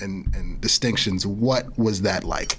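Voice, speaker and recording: A man with an American accent speaks at medium pitch and a very slow pace. Noticeable background noise runs behind him. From East Orange, New Jersey. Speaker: podcast host and MC. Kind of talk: casual interview. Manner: animated.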